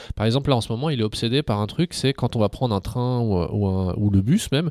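This man's voice has a dark, mellow tone at a medium pitch. His pitch varies in an ordinary way, and the sound is dry and close with no echo. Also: very clean recording, silent background. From Algeria, then Paris suburbs. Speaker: philosophy teacher and local politician. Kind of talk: casual interview.

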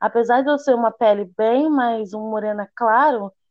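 At a moderate pace, this plain, everyday voice shows ordinary pitch variation. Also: woman. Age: 20s. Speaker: hairdresser. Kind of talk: interview.

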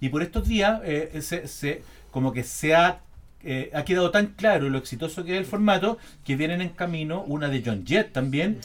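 A man speaks at a moderate pace and a fairly high pitch. He has a Chilean accent. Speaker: podcast host. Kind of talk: casual chat.

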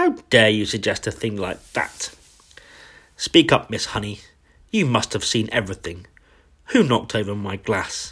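Bellowing in a put-on character voice, a man with a fairly low pitch and a slightly husky edge uses lively intonation and leaves long, frequent pauses. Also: fairly slow pace.

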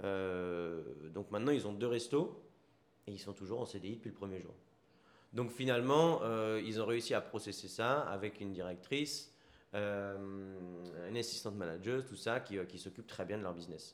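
This is a normal speaking voice from a man, fairly low with ordinary pitch variation. He talks at a fairly slow pace, with big swings in loudness. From Paris region, France. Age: 30s. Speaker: entrepreneur, restaurant founder. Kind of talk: casual interview chat. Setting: on location in a sandwich shop.

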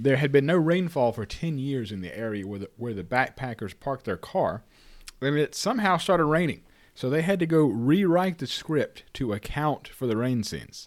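An American-accented man speaks at a moderate pace with a fairly high pitch and lively intonation, on a very clean recording with a silent background. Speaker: podcast host. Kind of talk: casual banter podcast.

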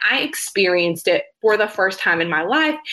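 With a Texan accent, this voice swings very widely in pitch at a moderate pace. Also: woman. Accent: Texan American. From West Texas (small rural town). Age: 20s. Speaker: behavior analyst and consultant. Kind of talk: interview, personal story.

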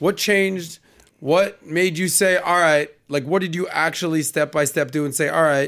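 A man with an American accent speaks in a normal speaking voice, pitched fairly high. His pace is moderate and his intonation fairly even. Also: very clean recording, silent background. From Miami, Florida. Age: 40s. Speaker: podcast host. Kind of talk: casual chat. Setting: studio.

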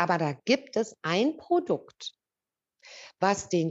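The pitch of this voice swings very widely. It belongs to a woman. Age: 50s. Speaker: customer sharing testimonial. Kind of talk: testimony. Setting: video call.

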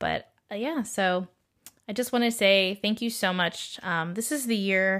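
The speech has a Californian accent, a fairly slow pace and ordinary pitch variation, in a very clean recording with a silent background. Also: woman. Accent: Californian American. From San Diego, California. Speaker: podcast host, registered nurse and meditation teacher. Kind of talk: casual monologue. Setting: solo recording at a microphone. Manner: hesitant, many fillers.

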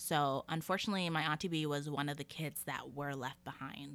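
Speaking in a Canadian accent, a woman keeps a moderate pace. Her pitch is very deep and low. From Calgary, Alberta, Canada. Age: 30s. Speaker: podcast host. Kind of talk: personal storytelling monologue. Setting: home recording. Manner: casual, laughing.

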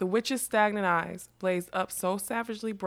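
The intonation is fairly even. A person reads aloud in a natural voice.

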